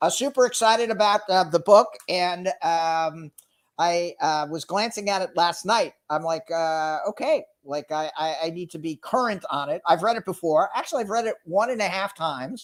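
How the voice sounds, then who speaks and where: Loud and high-pitched, a man with an American accent speaks at a moderate pace with ordinary pitch variation and hardly any pauses, in a very clean recording with a silent background. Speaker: sales executive and entrepreneur. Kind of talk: casual interview chat. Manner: energetic, animated.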